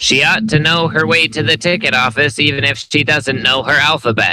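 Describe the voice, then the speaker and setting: A man speaks loudly in a put-on character voice, pitched fairly high. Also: moderate pace. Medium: read story.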